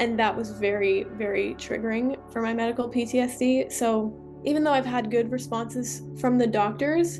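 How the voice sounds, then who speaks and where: A woman with a Canadian accent at a moderate pace, hardly any pauses, music in the background. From Ontario, Canada. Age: young. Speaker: trauma awareness advocate. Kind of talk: interview answer.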